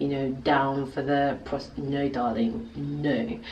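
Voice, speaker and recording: A British accent with ordinary pitch variation, plus audible room echo and noticeable background noise. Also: woman. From England, early childhood in Nigeria. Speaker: video blogger. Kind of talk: casual vlog talk. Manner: animated.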